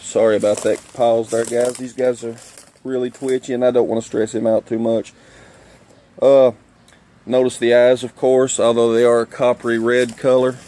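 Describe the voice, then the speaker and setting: A man with a strong Kentucky accent talks at a moderate pace and medium pitch, with monotone, flat intonation. Long, frequent pauses break his speech, and there is noticeable background noise. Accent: thick Kentucky. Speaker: nature video presenter. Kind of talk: outdoor wildlife demonstration. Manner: casual with many fillers.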